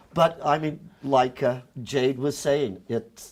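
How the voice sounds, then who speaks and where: This man has an ordinary speaking voice, talking at a fairly slow pace with ordinary pitch variation. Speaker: stage actor. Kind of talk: casual chat.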